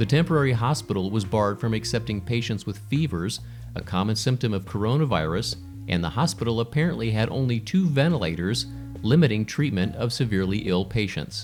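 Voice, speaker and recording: A man's fairly low pitch at a fairly quick pace, with lively intonation and music in the background. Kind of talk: news review read.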